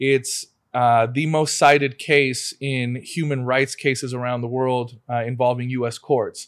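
A man at medium pitch, fairly slow in pace, with monotone, flat intonation. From Argentina, Tucumán. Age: 40s. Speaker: lawyer and car collector. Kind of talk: casual chat.

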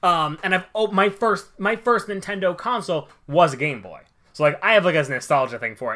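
Using a raised, projected voice, a man speaks at a high pitch and a fairly quick pace, with lively intonation and big swings in loudness. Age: 20s. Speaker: podcast co-host. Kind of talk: casual chat.

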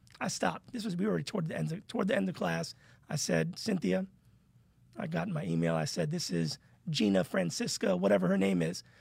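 The voice has vocal fry and very wide pitch swings. Its pace is fairly quick. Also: man. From New York (Long Island), moved to Miami as a teen. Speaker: university lecturer. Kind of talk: casual interview.

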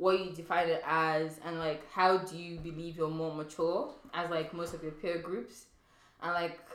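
A woman speaks at a moderate pace with a fairly low pitch and monotone, flat intonation. Audible room echo and noticeable background noise fill the recording. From Nigerian background. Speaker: podcast host. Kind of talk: casual chat.

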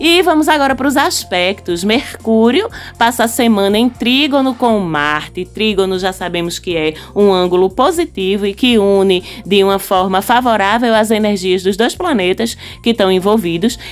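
Lively intonation at a moderate pace, with music in the background. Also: woman, medium pitch for a woman. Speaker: astrology podcast host. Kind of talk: solo podcast monologue. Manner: animated.

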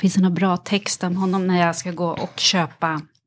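At a moderate pace, a woman talks in an ordinary speaking voice with a fairly low pitch. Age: 40s. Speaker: actress and author. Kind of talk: casual interview chat.

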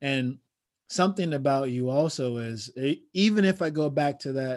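A man with an American accent and an unremarkable speaking voice, medium in pitch, with lively intonation at a moderate pace, on a very clean recording with a silent background. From Chicago. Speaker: podcast host. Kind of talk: interview conversation.

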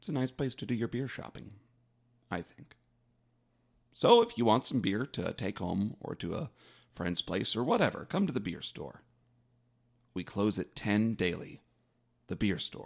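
Lively intonation and vocal fry mark this voice, which has long, frequent pauses. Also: man, fairly low pitch for a man, moderate pace. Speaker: podcast co-host. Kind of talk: comedic podcast banter. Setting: studio. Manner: mock-formal, hesitant, comedic.

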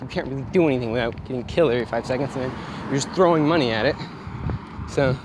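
This man talks at a very fast pace, with long, frequent pauses, in a medium pitch. Noticeable background noise runs behind him. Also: ordinary pitch variation. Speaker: podcast host. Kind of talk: casual gaming rant. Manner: angry, profane, ranting.

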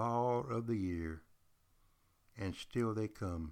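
Captured in a very clean recording with a silent background, a man with a slight Southern US accent speaks with lively intonation. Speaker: history teacher and podcast host. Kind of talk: casual history lecture. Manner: animated.

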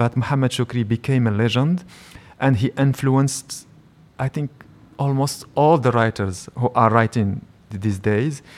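At a fairly slow pace, a man with a Moroccan accent speaks in a medium pitch with ordinary pitch variation. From Morocco (Rabat, Salé). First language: Moroccan Arabic. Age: 40s. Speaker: writer and film director. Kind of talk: live interview. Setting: public library with live audience.

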